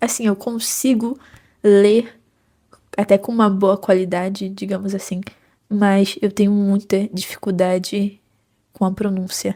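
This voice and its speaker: A woman with a Rio de Janeiro accent speaks fairly slowly at medium pitch, somewhat breathy and dark, mellow in tone, with monotone, flat intonation and long, frequent pauses. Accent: carioca (Rio de Janeiro). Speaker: psychology student and book vlogger. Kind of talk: casual vlog chat.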